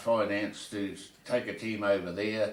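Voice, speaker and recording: Here is a man with a New Zealand accent. His voice is fairly low in pitch. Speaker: retired rugby player and club administrator. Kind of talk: interview answer.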